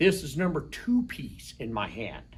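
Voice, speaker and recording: Here a high-pitched man with an American accent speaks with very wide pitch swings. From Colorado. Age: 60s. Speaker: rock shop owner. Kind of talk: casual interview.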